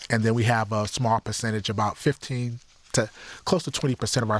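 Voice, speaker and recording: In an unremarkable speaking voice with an American accent, a man talks at a fairly quick pace, his medium pitch and intonation fairly even. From Detroit area, Michigan (Highland Park). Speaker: youth center director. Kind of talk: interview.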